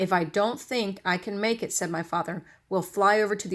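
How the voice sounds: What comes through is a natural reading voice.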